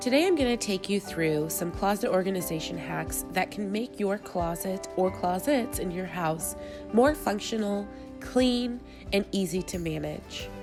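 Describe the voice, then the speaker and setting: Music plays in the background while the woman talks at a fairly slow pace. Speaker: mom vlogger. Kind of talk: cleaning tutorial voice-over.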